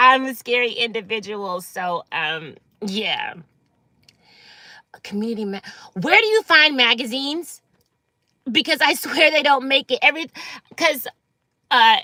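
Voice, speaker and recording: Speaking with an American accent, a woman uses a high pitch, a bright, sharp tone and an animated delivery with very wide pitch swings and big swings in loudness. Her pace is fairly slow, with long, frequent pauses, and the sound is dry and close with no echo. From San Francisco Bay Area, California. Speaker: livestreamer. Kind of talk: casual livestream chat. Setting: in a parked car.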